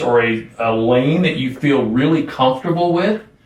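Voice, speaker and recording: With ordinary pitch variation, the man's voice comes through noticeable background noise. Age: 60s. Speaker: podcast host. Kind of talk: interview.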